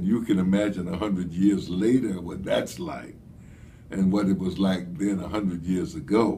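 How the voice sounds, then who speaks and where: A dark, mellow tone with vocal fry, at a fairly slow pace, against light background noise. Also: man. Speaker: history storyteller. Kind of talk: lecture. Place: office. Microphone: phone near.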